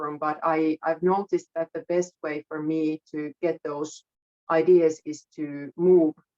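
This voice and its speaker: In a dry, close sound with no echo, a woman speaks at a very slow pace with a very deep, low pitch. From Finland. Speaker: musician. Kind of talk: interview. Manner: halting.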